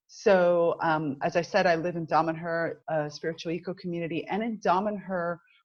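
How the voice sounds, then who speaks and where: In an American accent, a woman speaks with a fairly low pitch and fairly even intonation. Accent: American accent, noticeable. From Cuban American, US. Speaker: business mentor. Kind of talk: interview conversation.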